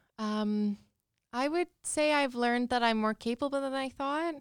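On a very clean recording with a silent background, a woman with a Canadian Prairies accent speaks at a fairly slow pace in a high pitch with ordinary pitch variation. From Saskatchewan, Canada (Regina). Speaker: social worker. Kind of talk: casual interview.

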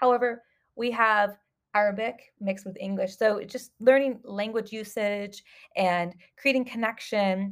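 In a Californian accent, a woman with a fairly high voice speaks at a moderate pace with fairly even intonation and big swings in loudness. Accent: Californian American. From Southern California, US. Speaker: school counselor and podcast host. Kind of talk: solo podcast monologue.

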